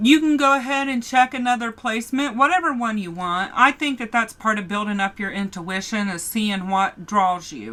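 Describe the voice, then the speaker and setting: Her pitch fairly high, a woman speaks in a bright, sharp tone with lively intonation. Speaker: tarot reader. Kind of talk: tarot reading.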